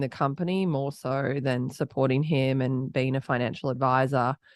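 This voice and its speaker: A woman with an Australian accent speaks at a moderate pace in a very deep, low pitch. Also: quiet background. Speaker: entrepreneur, company founder. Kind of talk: podcast interview.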